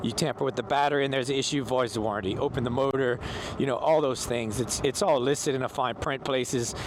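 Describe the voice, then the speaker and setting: Over noticeable background noise, a man talks at a very fast pace and medium pitch, with very even loudness and fairly even intonation. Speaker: e-bike vlogger. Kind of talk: casual vlog monologue while riding. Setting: outdoors on an e-bike.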